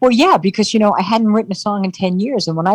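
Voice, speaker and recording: Here a woman speaks in a somewhat breathy voice. Her pitch moves with ordinary variation. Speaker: entertainer. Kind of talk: interview answer.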